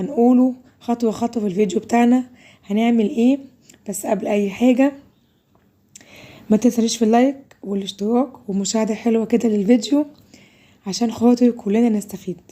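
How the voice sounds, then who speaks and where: A woman speaks at a fairly high pitch and a moderate pace, her tone dark and mellow. Her intonation stays fairly even, broken by long, frequent pauses. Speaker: cooking video host. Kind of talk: cooking tutorial.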